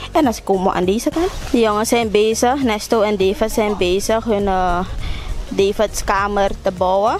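Faint music plays behind a woman speaking at a fairly slow pace. Her pitch varies in an ordinary way, and the sound is dry with no echo. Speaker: vlogger. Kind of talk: casual vlog chat. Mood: cheerful, laughing. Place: garden. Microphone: phone near.

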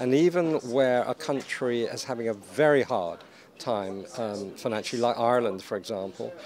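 Recorded with a dry sound and no echo, a man speaks with ordinary pitch variation over light background noise. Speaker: guest. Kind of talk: interview answer. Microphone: handheld.

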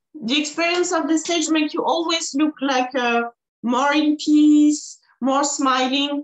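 The background is quiet while a woman with a French accent speaks. Her pitch is high and her pace fairly slow. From France. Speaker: IFBB pro bodybuilder and Olympian. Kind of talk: casual interview. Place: home room. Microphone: video call.

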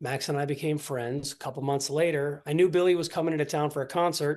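Over a quiet background, a man with an American accent talks at a very fast pace in a fairly high pitch. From Ohio, US Midwest. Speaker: singer and pianist. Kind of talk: interview. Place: home room. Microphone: video call.

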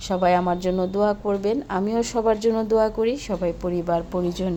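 Intonation here is fairly even. It is an unremarkable speaking voice. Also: woman. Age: 40s. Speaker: vlogger. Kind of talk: travel vlog.

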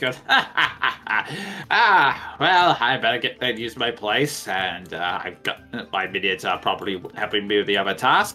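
Putting on a character voice, a man cackles at a fairly slow pace and a fairly low pitch while faint music plays in the background. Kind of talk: comic villain voice. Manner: gloating, cackling.

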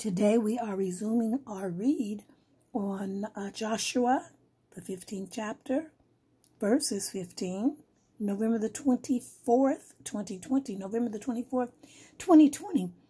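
A woman speaks at a fairly slow pace in a fairly high pitch with ordinary variation. Her tone is dark and mellow and somewhat breathy. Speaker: bible reader. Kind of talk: reading aloud.

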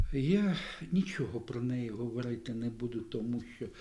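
Somewhat breathy and dark, mellow in tone, a man speaks at a very slow pace with lively intonation. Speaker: event host. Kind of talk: introductory speech. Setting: library event with audience. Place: hall. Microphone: studio mic.

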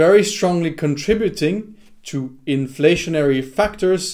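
This man takes a fairly slow pace, and the background behind him is quiet. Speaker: investing video creator. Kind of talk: explanatory commentary over slides. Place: home room.

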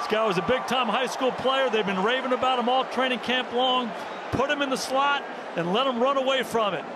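Over noticeable background noise, a man with an extremely high pitch talks fairly quickly in a raised, projected, energetic voice at very even loudness. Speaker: color analyst. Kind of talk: live game analysis, explaining plays between snaps. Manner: energetic, emphatic, conversational, praising players.

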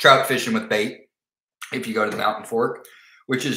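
A man's medium-pitched voice in a bright, sharp tone, with audible room echo

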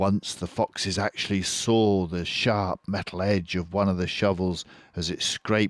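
The speaker uses a natural reading voice. That is the whole of it.

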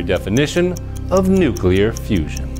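Spoken at a fairly slow pace with very wide swings in pitch, the voice sits over clearly audible background music. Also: man. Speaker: TV host, game show host, stand-up comedian. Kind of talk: game show host delivery. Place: studio. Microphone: lapel.

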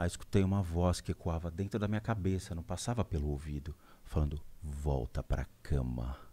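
The voice has a dark, mellow tone and is somewhat breathy. It keeps a moderate pace with ordinary pitch variation. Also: man, very deep, low pitch for a man. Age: 40s. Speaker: spiritual medium; podcast guest. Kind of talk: interview storytelling. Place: studio. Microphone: studio mic.

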